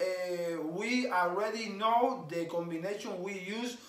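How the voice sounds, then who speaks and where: A man at a very slow pace, with ordinary pitch variation and audible room echo. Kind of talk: casual explainer. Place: home room. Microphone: camera far.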